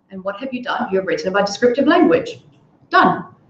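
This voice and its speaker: The speaker has an Indian accent and an animated tone. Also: woman. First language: Hindi. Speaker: English tutor. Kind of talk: online workshop lesson.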